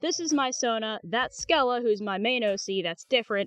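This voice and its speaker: Dry, close sound with no echo, a woman's bright, sharp tone and lively intonation over a quiet background. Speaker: youtuber. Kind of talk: casual chat. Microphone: earbud mic, sounds bad.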